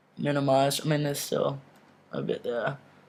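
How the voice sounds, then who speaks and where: A man talks at a moderate pace. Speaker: video blogger. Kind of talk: personal video update. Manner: casual, many fillers.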